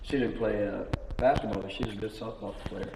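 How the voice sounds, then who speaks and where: A man talks with an American accent. Audible room echo and noticeable background noise surround his voice. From Indiana, US Midwest. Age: 90s. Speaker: church elder. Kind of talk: oral history interview. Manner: halting.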